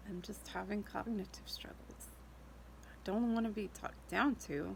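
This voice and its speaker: A woman speaks at a moderate pace. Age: 40s. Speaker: vlogger with a neurological illness. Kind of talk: casual video diary. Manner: hesitant, many fillers.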